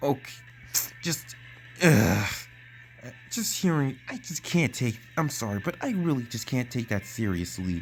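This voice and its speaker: A man speaks at a fairly slow pace with lively intonation and long, frequent pauses, music playing in the background. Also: medium pitch for a man. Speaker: YouTube commentator. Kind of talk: commentary video narration. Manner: stuttering, frequent pauses.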